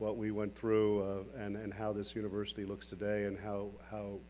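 A man's fairly low voice over light background noise. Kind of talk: keynote speech. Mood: warm, lightly joking. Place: hall. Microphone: podium.

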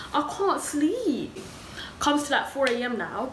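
Ordinary pitch variation with audible room echo and light background noise. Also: woman. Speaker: storyteller vlogger. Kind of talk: casual vlog chat. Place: home room. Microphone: phone near.

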